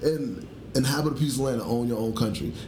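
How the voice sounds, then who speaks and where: Audible room echo surrounds a man as he talks. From Chicago. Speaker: podcast guest. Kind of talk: casual chat.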